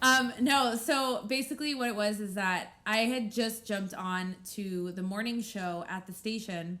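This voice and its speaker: Loud and bright with a sharp tone, a woman talks at a fairly high pitch and a fairly slow pace with hardly any pauses. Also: ordinary pitch variation. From Mexican heritage. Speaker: podcast co-host and radio host. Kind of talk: casual chat.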